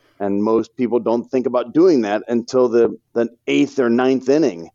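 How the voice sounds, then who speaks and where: A man's medium-pitched voice at a moderate pace, with ordinary pitch variation, a normal speaking voice. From St. Louis, Missouri, US. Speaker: financial advisor. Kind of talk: interview podcast.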